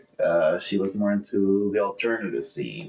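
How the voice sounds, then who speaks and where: A man speaks with a Spanish accent at a moderate pace. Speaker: podcast co-host. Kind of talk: casual chat.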